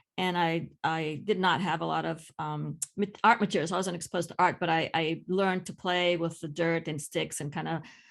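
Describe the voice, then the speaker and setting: A woman with a Greek accent, a fairly low pitch and vocal fry speaks at a moderate pace with fairly even intonation and hardly any pauses, over a quiet background. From Greece, small village. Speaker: ceramic artist and art teacher. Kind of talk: casual conversation. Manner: halting, many fillers.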